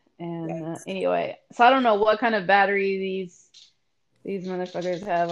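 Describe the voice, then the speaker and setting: A woman talks at a moderate pace. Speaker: podcast co-host. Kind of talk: casual chat.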